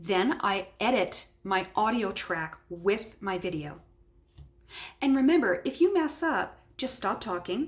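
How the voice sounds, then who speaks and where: Speaking at a very slow pace, a woman with a medium pitch makes very wide pitch swings. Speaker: craft tutorial youtuber. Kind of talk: tutorial. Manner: gets loud when excited; voice rises when excited. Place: home room. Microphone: webcam.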